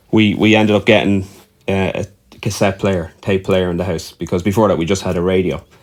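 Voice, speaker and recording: A man with an Irish accent speaks in a very deep, low voice. His pace is fairly quick and his intonation fairly even. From Ireland. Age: 40s. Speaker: musician. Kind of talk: casual chat. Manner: halting, with frequent repetitions.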